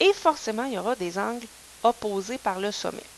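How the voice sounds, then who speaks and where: Through noticeable background noise, a woman with a Quebec accent speaks at a moderate pace with lively intonation. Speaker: math teacher. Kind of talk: lecture. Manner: casual, conversational.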